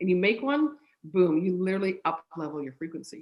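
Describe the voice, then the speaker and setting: The speech moves at a fairly quick pace with lively intonation. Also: woman. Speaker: mental performance coach. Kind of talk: interview. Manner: fast.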